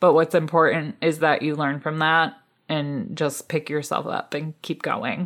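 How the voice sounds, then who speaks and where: A woman with a very deep, low pitch speaks at a fairly slow pace in an animated tone. The recording is very clean, with a silent background. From Michigan, US. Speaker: hobby farmer and podcast host. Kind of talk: casual interview chat. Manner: animated, laughs often.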